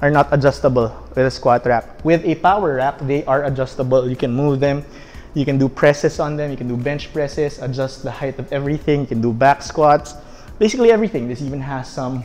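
The man speaks at a fairly quick pace with ordinary pitch variation. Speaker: fitness coach. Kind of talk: tutorial. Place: gym.

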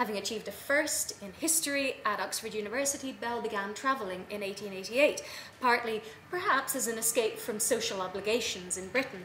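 A woman with an Irish accent and a fairly high pitch speaks at a fairly quick pace with ordinary pitch variation, amid audible room echo and light background noise. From Ireland. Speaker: academic, travel writing specialist. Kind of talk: conference paper reading. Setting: conference room with audience. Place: meeting room.

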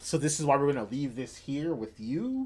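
This man talks at a moderate pace. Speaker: manga show host. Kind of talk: casual stream commentary. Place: home room.

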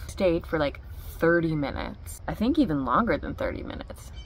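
A woman is heard in a dry recording with no echo. Light background noise is present. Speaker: vlogger. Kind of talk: casual vlog chat. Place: home room. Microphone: phone near.

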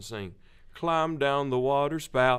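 Here is a man with an American accent and a bright, sharp tone. He speaks at a fairly slow pace over a quiet background. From US South. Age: 30s. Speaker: gospel quartet lead singer; guest. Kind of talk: interview. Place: studio. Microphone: studio mic.

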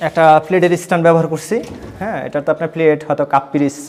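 This man has a plain, everyday voice with a fairly high pitch and fairly even intonation. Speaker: furniture designer showing his work. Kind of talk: product showcase tour.

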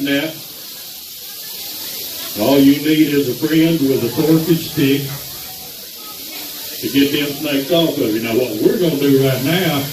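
Over noticeable background noise, a man talks at a fairly slow pace, pausing long and often. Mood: joking, playful. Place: hall.

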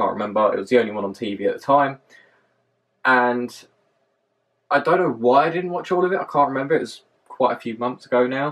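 A man with a southern English accent, very fast pace, lively intonation and long, frequent pauses. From London, southern England. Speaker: vlogger. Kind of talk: vlog monologue. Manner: hesitant, many fillers. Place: home room. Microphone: camera far.

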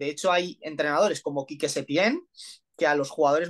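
The background is quiet as a man talks. His pitch is fairly high, with ordinary variation. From Spain. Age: 30s. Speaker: football coach; football coach interviewee. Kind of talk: interview analysis. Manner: halting, many fillers. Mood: calm analytical. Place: home room. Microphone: video call.

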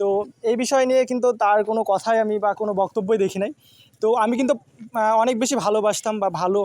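A man speaks at a high pitch. The sound is dry and close with no echo, against a quiet background. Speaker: vlogger. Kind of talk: travel vlog narration. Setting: outdoors.

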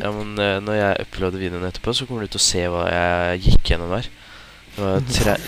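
There is noticeable background noise behind this man. He talks at a fairly quick pace with a fairly low pitch. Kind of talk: casual gameplay commentary.

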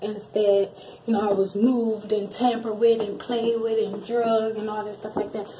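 A woman talks at a moderate pace while noticeable noise runs in the background. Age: 20s. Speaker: YouTuber, wheelchair user; YouTuber. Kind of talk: casual Q&A vlog. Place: bathroom. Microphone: phone near.

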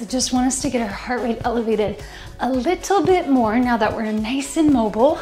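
The woman's voice is high in pitch. Faint music plays in the background. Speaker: fitness instructor. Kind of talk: workout instruction. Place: kitchen.

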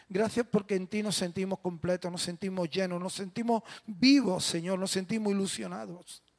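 Over a quiet background, a man speaks with a high pitch. His pace is moderate and his pitch variation ordinary. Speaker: pastor. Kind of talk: prayer before sermon. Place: church. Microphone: handheld.

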